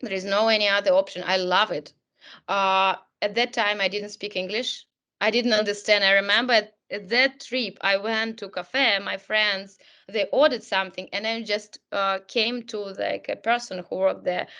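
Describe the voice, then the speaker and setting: A woman with a Russian accent, medium in pitch, bright and sharp in tone, with fairly even intonation over a quiet background. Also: moderate pace. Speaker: career coach. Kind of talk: webinar talk.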